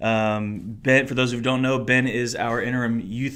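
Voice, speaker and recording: The intonation is monotone and flat, with audible room echo in the recording. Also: man. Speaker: college and singles minister, podcast host. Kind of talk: casual chat. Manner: announcer-like delivery in front of mic.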